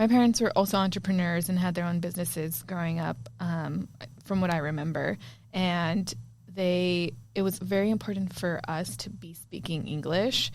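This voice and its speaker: Ordinary pitch variation at a moderate pace. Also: woman, fairly low pitch for a woman. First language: Spanish. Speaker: podcast co-host. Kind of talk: casual chat.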